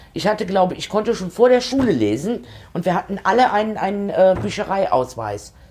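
Over noticeable background noise, a woman speaks at a fairly quick pace. Her intonation is lively. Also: medium pitch for a woman. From eastern Germany. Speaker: podcast host, politician and elderly-care nurse. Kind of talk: casual chat.

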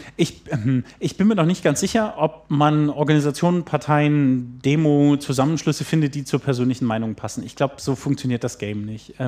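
At a fairly quick pace, the speaker's dark, mellow tone shows ordinary pitch variation. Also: man, fairly high pitch for a man. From Germany (Baden-Württemberg/Lower Saxony). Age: 30s. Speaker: youth political educator. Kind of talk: casual interview. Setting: at guest's place.

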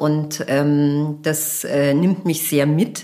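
A woman at a very slow pace. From Bavaria, Germany. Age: 50s. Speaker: fashion entrepreneur. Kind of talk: interview conversation. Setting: at her home.

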